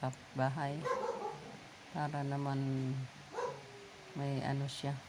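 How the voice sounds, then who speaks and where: Very slow and very deep, low in pitch, a woman speaks through noticeable background noise. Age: 60s. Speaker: vlogger, widow. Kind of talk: casual vlog monologue. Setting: outdoors in her yard.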